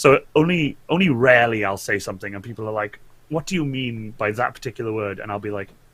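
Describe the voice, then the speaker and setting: With a Welsh accent, a man talks at a very fast pace with medium pitch, lively intonation and big swings in loudness. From Wales. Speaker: cosplayer and Twitch streamer. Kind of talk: casual interview chat. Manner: halting, many repeats.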